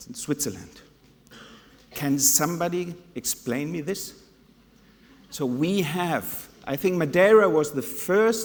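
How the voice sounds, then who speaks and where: Speaking at a fairly slow pace with lively intonation, a man talks in a German accent. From Germany (Hannover), Spanish mother. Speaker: conference speaker, tourism/hotel professional. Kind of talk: conference talk.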